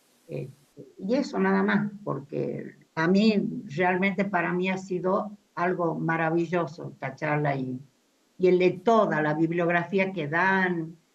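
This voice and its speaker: A woman speaks very slowly, her pitch fairly low. Her pitch variation is ordinary. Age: 80s+. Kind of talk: audience comment at discussion. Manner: halting, repetitive fillers.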